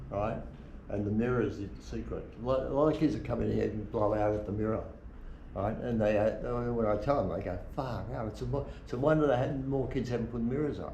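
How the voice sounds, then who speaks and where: A medium-pitched man with an Australian accent at a fairly quick pace, ordinary pitch variation, and noticeable background noise. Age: 80s+. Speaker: surfboard shaper. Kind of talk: casual conversation in workshop.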